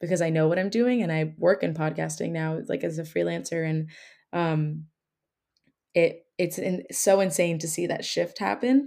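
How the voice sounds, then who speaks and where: This is a normal speaking voice delivered at a fairly slow pace. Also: woman, very clean recording, silent background. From New Jersey. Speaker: travel podcaster and former English teacher. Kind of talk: interview.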